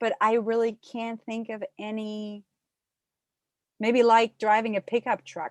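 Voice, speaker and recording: With a dry, close sound and no echo, a woman speaks at a fairly high pitch in a monotone, flat intonation, moving at a fairly slow pace with long, frequent pauses. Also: big swings in loudness. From Germany. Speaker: podcast guest. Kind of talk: interview.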